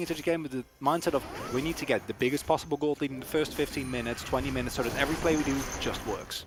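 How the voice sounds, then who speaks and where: Very fast speech from a man with a fairly high pitch and a non-native accent, plus noticeable background noise. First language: not English. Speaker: esports caster. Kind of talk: live commentary.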